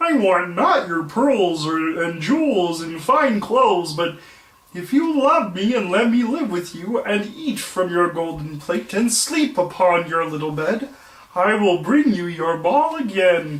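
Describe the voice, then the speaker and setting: At a fairly slow pace, a put-on character voice speaks at a middle pitch. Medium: read story. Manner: insistent.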